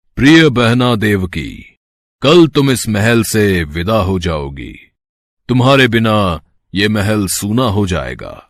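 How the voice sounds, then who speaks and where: A man's cartoonish character voice, fairly low and very slow with lively intonation, in a very clean recording with a silent background. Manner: arrogant, domineering.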